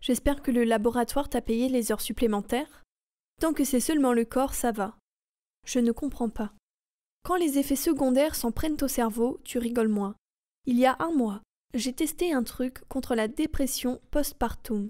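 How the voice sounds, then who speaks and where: A woman's high-pitched voice, dark and mellow, calm and soothing, fairly slow with long, frequent pauses and ordinary pitch variation. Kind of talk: audiobook reading. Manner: calm, soothing.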